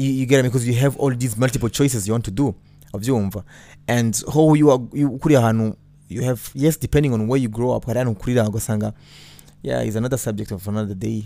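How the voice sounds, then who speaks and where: A very fast man with a Burundian accent, medium pitch, dark and mellow tone and fairly even intonation, in a very clean recording with a silent background. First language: Kirundi. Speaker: podcast host and former radio host. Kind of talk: casual monologue with faith talk.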